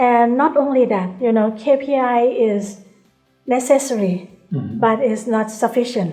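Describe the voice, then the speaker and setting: Ordinary pitch variation at a fairly slow pace, with music in the background. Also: woman, fairly high pitch for a woman. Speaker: bank CEO. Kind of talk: interview answer. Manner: soft-spoken.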